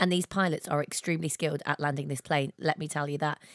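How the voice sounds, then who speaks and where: On a very clean recording with a silent background and a dry, close sound with no echo, a woman speaks with an English Midlands accent in an animated, cheerful tone. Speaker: podcast co-host. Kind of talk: casual chat.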